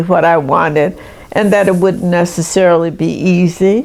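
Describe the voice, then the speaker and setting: With an American accent, a woman is speaking. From US South. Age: 80s+. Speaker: retired nurse. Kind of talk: interview.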